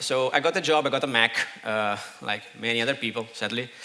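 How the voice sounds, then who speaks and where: A man talks fairly quickly with ordinary pitch variation while noticeable background noise is present. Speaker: conference speaker. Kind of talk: conference talk.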